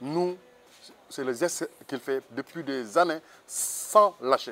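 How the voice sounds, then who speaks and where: The intonation is lively. Light background noise can be heard. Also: man. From Senegal. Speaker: former pilgrim walker, parish group member; interviewee. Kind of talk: testimony. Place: garden. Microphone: lapel.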